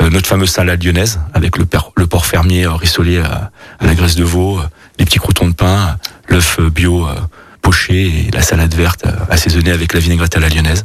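A man with a very deep, low voice talks at a moderate pace with very even loudness and flat, monotone intonation, and there is noticeable background noise. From Burgundy, France. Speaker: chef and restaurant owner. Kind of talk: radio interview. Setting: studio. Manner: halting, many repetitions.

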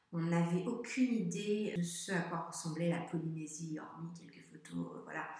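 A woman with a fairly low pitch talks at a fairly slow pace, with hardly any pauses, ordinary pitch variation and big swings in loudness. Audible room echo and noticeable background noise fill the recording. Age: 40s. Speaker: traveling parent. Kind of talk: interview. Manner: halting.

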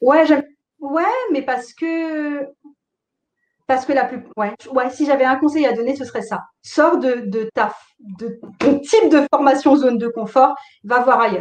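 Long, frequent pauses break up speech delivered at a fairly slow pace with ordinary pitch variation. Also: woman, high pitch for a woman. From Alsace, France. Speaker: tarot teacher and online entrepreneur. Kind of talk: interview.

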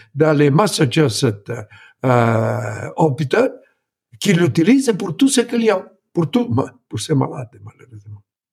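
In an Italian accent, a man with a fairly high voice talks fairly slowly, his pitch swinging very widely. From Italy. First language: Italian (speaking French). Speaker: former tech executive. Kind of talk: interview. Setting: remote from home.

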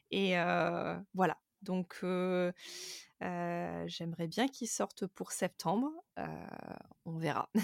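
A woman talks at a very slow pace, leaving long, frequent pauses. The recording is very clean, with a silent background and a dry, close sound with no echo. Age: 30s. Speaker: content creator and podcaster. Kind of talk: interview testimony. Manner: hesitant, many fillers.

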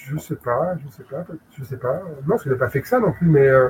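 A man speaks at a moderate pace. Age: 40s. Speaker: film video publisher. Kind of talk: casual chat. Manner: halting, many repetitions and fillers.

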